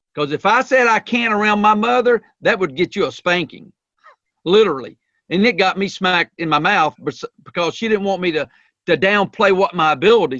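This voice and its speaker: Dry and close with no echo, a man's high voice has a bright, sharp tone and lively intonation as he moves at a fairly quick pace. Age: 50s. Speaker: leadership coach. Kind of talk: podcast interview. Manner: animated.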